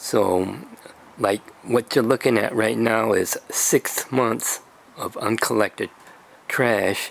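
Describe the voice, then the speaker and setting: A man's medium-pitched voice at a very slow pace, fairly even in intonation, with long, frequent pauses and noticeable background noise. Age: 70s. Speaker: video blogger. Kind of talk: casual explainer video. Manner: halting, many fillers.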